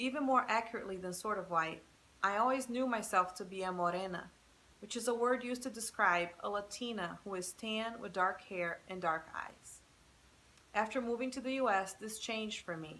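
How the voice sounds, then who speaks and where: Speaking at a moderate pace, a woman has a bright, sharp tone and a medium pitch. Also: ordinary pitch variation. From Brazil. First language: Portuguese. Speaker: professor. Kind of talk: scripted narration.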